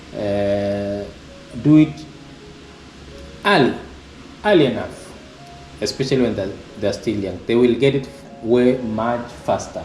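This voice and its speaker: Long, frequent pauses run through the speech. Music sits in the background. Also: man, medium pitch for a man, ordinary pitch variation. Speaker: parent. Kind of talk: casual talk to camera. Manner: hesitant, many fillers.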